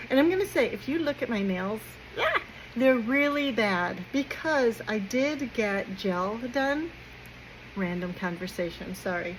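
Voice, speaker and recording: An American accent at a fairly slow pace, with very wide pitch swings and noticeable background noise. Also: woman, fairly high pitch for a woman. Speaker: vlogger. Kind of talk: casual chat.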